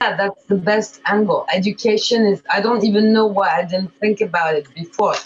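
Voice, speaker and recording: Over noticeable background noise, a woman at a medium pitch talks at a moderate pace with hardly any pauses, very even loudness and fairly even intonation. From France, of Eastern European immigrant family. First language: French. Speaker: diet company founder. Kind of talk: coaching conversation.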